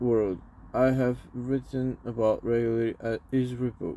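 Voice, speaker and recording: A man with a non-native accent, a dark, mellow tone and medium pitch. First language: not English. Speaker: crypto YouTuber. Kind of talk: reading aloud. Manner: halting.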